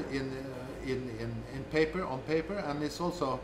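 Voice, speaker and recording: A man keeps a moderate pace and fairly even intonation, with audible room echo and noticeable background noise around him. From Norway. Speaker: government official on state ownership. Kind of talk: interview. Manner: halting, many repetitions.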